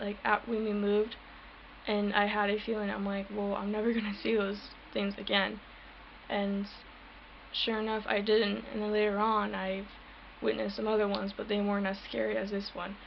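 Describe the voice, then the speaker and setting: Soft-spoken and monotone, a woman talks with flat intonation and long, frequent pauses in a room with audible echo. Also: medium pitch for a woman, moderate pace. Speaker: paranormal vlogger. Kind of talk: personal testimony vlog. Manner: halting.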